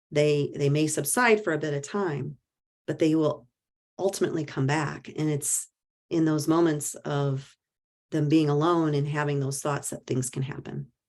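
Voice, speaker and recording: A woman with a Midwestern US accent speaks in a very deep, low pitch. Her pace is moderate and her intonation fairly even. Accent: US Midwest. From rural Iowa. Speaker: mental health advocate and author. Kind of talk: talk Q&A. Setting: presentation to audience.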